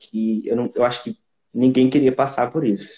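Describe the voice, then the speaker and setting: With a northeastern Brazilian accent, a man speaks in a dark, mellow tone with ordinary pitch variation. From Brazil, Northeast (Pernambuco). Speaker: singer and actor. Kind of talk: interview. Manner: halting.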